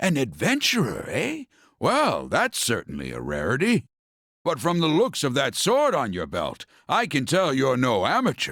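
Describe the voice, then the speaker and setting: Over a silent background in a very clean recording, a man puts on a character voice, fairly high in pitch and at a moderate pace. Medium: video game. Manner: warm, fatherly.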